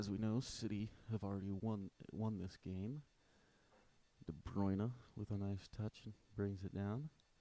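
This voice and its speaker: Quiet male speech, fairly low in pitch, with a dark, mellow tone, fairly even intonation, a moderate pace and long, frequent pauses. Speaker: football fan commentator. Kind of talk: live stream commentary.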